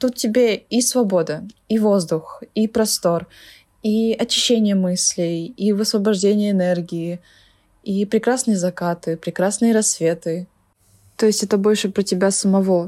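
A woman's medium-pitched voice with a dark, mellow tone, a fairly slow pace, fairly even intonation and very even loudness, long frequent pauses throughout, on a very clean recording with a silent background. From Kalmykia. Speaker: former Kalmykia resident living in Moscow. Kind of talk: personal reflection, recorded testimony.

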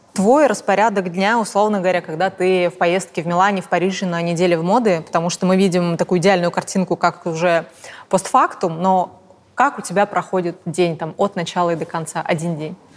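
This woman has an ordinary speaking voice, medium in pitch, moving at a fairly quick pace with fairly even intonation. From Russia, Tomsk. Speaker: fashion journalist, podcast host. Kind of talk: interview.

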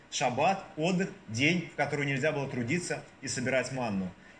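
At a fairly quick pace, a man speaks amid noticeable background noise and audible room echo. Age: 40s. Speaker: deacon preaching. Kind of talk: sermon. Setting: church. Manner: hesitant, frequent filler sounds.

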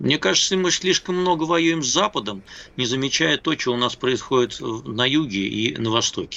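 This man speaks at a moderate pace in a medium pitch with lively intonation. His loudness stays very even throughout. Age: 60s. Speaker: political analyst and journalist. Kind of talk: casual chat. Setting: Skype call. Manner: halting.

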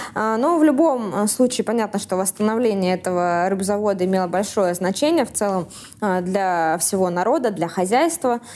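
In a very clean recording with a silent background, a woman with an ordinary speaking voice talks at a moderate pace, her medium pitch moving with lively intonation. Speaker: podcast host.

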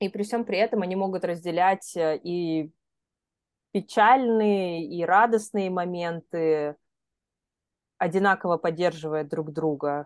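A woman speaks very slowly in a fairly low pitch, with ordinary pitch variation and long, frequent pauses. Her sound is dry and close, without echo. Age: 30s. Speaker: podcast co-host. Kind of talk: casual chat.

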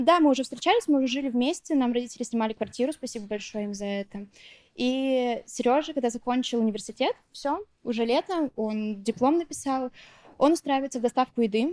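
Words come at a fairly quick speed. There is no echo, and the sound is close and dry. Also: woman, high pitch for a woman, ordinary pitch variation. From Bashkortostan, Russia. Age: 20s. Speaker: food business owner. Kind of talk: personal interview.

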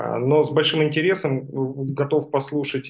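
A man's fairly high voice comes through at a very slow pace. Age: 40s. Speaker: stair craftsman. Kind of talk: book club discussion.

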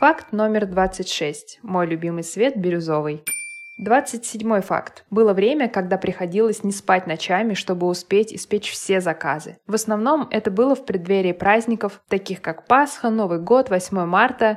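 A woman talks at a fairly slow pace with ordinary pitch variation while noticeable background noise runs underneath. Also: medium pitch for a woman. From Moscow, Russia. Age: 30s. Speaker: podcaster and mother. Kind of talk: personal monologue.

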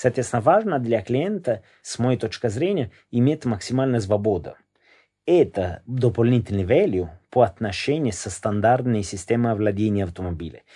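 A man with an Italian accent, a dark, mellow tone and lively intonation, over a quiet background. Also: medium pitch for a man, moderate pace. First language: Italian (speaking Russian). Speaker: company founder. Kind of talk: interview. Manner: halting.

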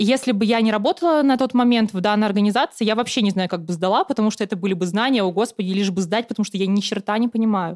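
Recorded very cleanly with a silent background, a woman's fairly high voice comes through dry and close with no echo. She talks at a very fast pace with hardly any pauses, very even loudness and ordinary pitch variation. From Siberia, Russia. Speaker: former student union chair. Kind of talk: casual interview.

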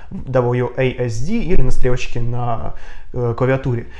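A man speaks with ordinary pitch variation. Noticeable background noise runs beneath him. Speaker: indie game designer and English teacher. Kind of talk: interview conversation. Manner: hesitant, many filler sounds.

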